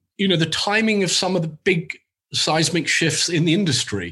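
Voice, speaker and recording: Bright and sharp in tone, a man speaks at a high pitch. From Uganda and UK. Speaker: agency CEO, executive. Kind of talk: interview, casual chat.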